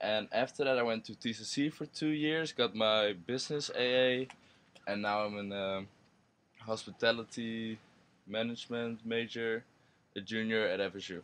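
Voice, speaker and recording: A man's medium-pitched voice with ordinary pitch variation, at a moderate pace over a quiet background. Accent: Dutch. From Netherlands. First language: Dutch. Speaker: university student. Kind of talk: interview.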